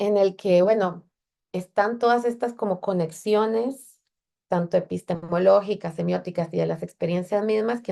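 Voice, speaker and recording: The woman's tone comes across dark and mellow. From Central America. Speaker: feminist technology researcher. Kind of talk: lecture.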